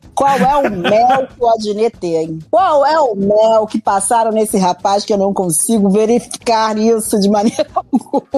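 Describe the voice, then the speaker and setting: A woman's fairly high, dark, mellow voice at a fairly slow pace, with ordinary pitch variation, big swings in loudness and hardly any pauses, in a dry, close sound with no echo. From Argentina-born, raised in Brazil. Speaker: podcast co-host. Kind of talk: casual chat.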